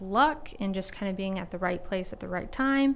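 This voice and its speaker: A woman uses a normal speaking voice at a medium pitch with ordinary pitch variation. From Texas, Rockwall near Dallas. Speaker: podcast host. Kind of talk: casual interview.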